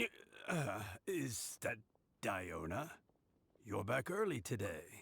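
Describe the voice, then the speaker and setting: At a very slow pace with long, frequent pauses, a man puts on a character voice at a medium pitch. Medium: video game. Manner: warm, chuckling.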